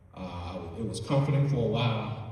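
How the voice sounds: Strong room echo surrounds a man's fairly low, slightly mellow voice. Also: ordinary pitch variation, moderate pace.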